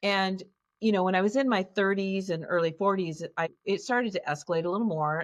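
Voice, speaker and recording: A woman with a normal speaking voice talks at a fairly quick pace, her pitch medium and its variation ordinary. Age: 60s. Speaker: childhood abuse survivor and trauma healing facilitator. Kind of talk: interview, personal testimony.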